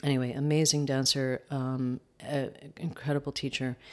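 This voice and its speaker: In a New York accent, a woman speaks at a fairly slow pace in a very deep, low pitch, monotone and flat. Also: very clean recording, silent background. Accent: New York American. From US, upstate New York. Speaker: dance teacher. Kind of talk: interview. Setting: home kitchen. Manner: hesitant, many fillers.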